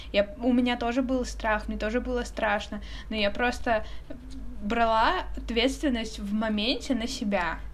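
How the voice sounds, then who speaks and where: A woman's fairly slow speech with noticeable background noise and audible room echo. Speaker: podcast co-host. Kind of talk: casual chat.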